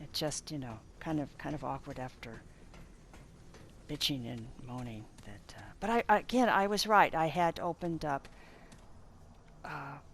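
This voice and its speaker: Long pauses break up the speech frequently. Its pace is fairly slow. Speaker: gamer. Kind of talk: gameplay voiceover commentary. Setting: headset mic close to mouth. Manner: hesitant, rambling.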